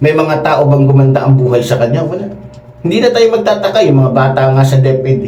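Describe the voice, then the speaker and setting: With noticeable background noise behind him, a man with a fairly high pitch speaks at a very fast pace and with lively intonation. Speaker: political commentator. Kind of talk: heated political rant. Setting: solo show, commenting on clips. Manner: angry, insulting, animated; emphatic, repeats for effect.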